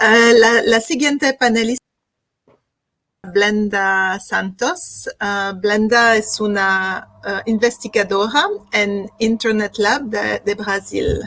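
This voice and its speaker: A woman with a non-native accent, a fairly high pitch and a bright, sharp tone, very slow in pace, with ordinary pitch variation. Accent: foreign accent in Spanish. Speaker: panel moderator. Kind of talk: panel moderation. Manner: halting.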